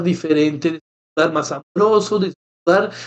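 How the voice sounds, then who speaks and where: The man's voice is high-pitched. His intonation is lively. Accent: French. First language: French (speaking Spanish). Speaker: podcast co-host, therapist. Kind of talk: casual chat.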